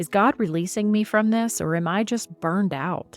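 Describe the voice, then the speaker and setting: Music is audible under the speech. The woman's pitch varies in an ordinary way. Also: dry, close sound with no echo. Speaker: podcast host. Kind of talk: podcast intro.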